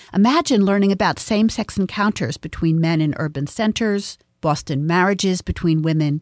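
Recorded very cleanly against a silent background, a woman speaks in a normal speaking voice, fairly low in pitch, with ordinary pitch variation. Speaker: podcast host and feminist studies professor. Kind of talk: scripted narration.

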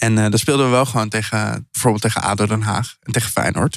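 The recording is very clean with a silent background as a man talks at a fairly quick pace. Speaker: podcast host. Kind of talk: casual interview. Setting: food hall in The Hague.

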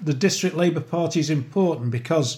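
With a Liverpool accent, a man talks at a moderate pace in a fairly high, somewhat breathy voice with ordinary pitch variation. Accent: Liverpool (Scouse). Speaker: socialist mayoral candidate and trade unionist. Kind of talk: political discussion podcast.

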